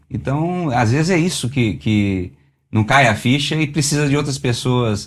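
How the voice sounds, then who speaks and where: On a very clean recording with a silent background, a man uses a normal speaking voice at a medium pitch, speaking at a fairly slow pace with lively intonation and very even loudness. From Belo Horizonte, Minas Gerais, Brazil. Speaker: automotive engineer and musician. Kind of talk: interview answer.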